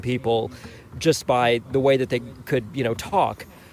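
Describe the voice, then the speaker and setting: Noticeable background noise sits behind a man speaking fairly slowly with an American accent. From Bermuda. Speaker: audiobook narrator. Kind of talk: casual chat. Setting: live online radio show. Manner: halting, many fillers.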